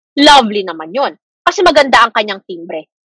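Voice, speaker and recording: A woman's high, raised and projected voice, very wide pitch swings, moderate pace, dry and close sound with no echo. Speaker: teacher. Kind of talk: lecture. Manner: casual Taglish code-switching.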